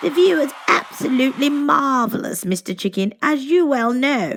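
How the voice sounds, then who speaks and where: Using a put-on character voice, a woman speaks at a high pitch. Her intonation is lively and her pace moderate. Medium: read story. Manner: gracious, refined.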